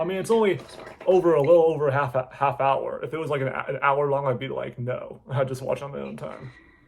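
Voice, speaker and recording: Against noticeable background noise, a man talks at a fairly quick pace, his loudness swinging widely. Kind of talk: reaction video commentary, casual talk to camera. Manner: casual, chatty, rambling.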